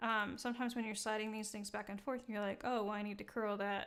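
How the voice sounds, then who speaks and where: A woman's fairly high voice at a very fast pace, flat and monotone in intonation. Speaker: 3D software livestream presenter. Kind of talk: live tutorial. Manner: halting, stuttering; casual, frequent fillers.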